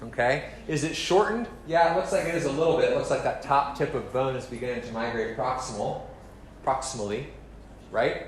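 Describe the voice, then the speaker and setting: Fairly quick speech from a man amid noticeable background noise and audible echo from the room. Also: fairly high pitch for a man, lively intonation. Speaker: medical lecturer. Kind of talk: lecture. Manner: fast.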